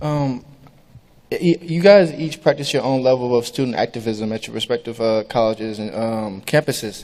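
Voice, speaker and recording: Delivered at a moderate pace, this is an unremarkable speaking voice. Pitch variation is ordinary. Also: man, medium pitch for a man. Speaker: student panel moderator. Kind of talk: moderating questions.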